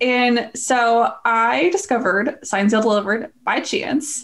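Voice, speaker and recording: There is noticeable background noise as a woman with a high voice speaks in an animated tone. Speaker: podcast co-host. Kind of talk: casual chat, personal storytelling. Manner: animated, laughs often.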